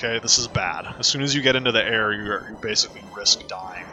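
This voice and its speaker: A man at a very fast pace, fairly even intonation, and music in the background. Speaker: speedrunner. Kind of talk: live gameplay commentary.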